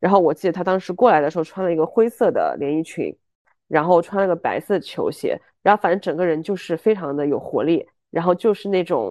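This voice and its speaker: In a fairly low voice, a woman speaks with an animated tone at a fairly quick pace and ordinary pitch variation. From Chengdu, Sichuan, China. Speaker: podcast co-host. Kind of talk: casual chat.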